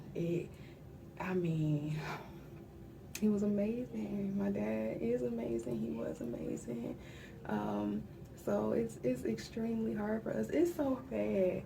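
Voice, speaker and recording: A woman whispers at a very slow pace with long, frequent pauses, over noticeable background noise and audible room echo. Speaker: vlogger sharing personal grief diary. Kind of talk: personal video diary. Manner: whispering.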